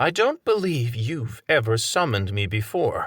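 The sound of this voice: Using a put-on character voice, a soft-spoken man talks at medium pitch and a moderate pace with very wide pitch swings. The recording is very clean with a silent background.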